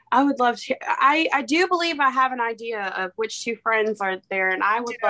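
A woman with an American accent talks at a fairly quick pace with hardly any pauses, her fairly high voice bright and sharp in tone and lively in intonation. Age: 20s. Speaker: podcast guest. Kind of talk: casual chat.

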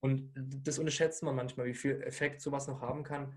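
The pace is fairly slow. A man speaks in a somewhat breathy voice. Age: 20s. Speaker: weight-loss and nutrition coach. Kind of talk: podcast interview. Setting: studio with camera.

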